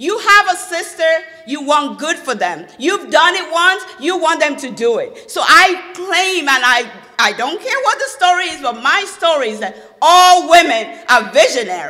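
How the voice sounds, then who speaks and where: A woman speaks in a raised, projected voice with a Nigerian accent, her animated tone swinging very widely at an extremely high pitch and a moderate pace, with noticeable background noise and audible room echo. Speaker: motivational speaker. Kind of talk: speech. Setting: stage with audience.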